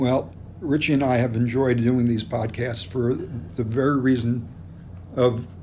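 At a moderate pace, a man with an American accent speaks in a medium pitch with a dark, mellow, somewhat breathy tone and ordinary pitch variation, with audible room echo. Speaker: podcast host. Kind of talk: interview.

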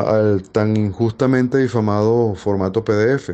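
Over a quiet background, a man speaks at a very slow pace. His tone is dark and mellow. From Venezuela, Caracas. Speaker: university professor and writer. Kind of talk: interview. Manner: formal.

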